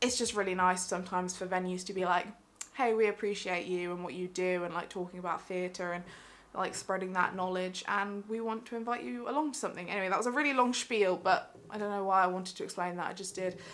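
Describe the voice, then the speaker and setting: Talking at a very fast pace, a woman keeps a medium pitch with ordinary variation. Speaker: theatre vlogger. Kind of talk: casual vlog chat.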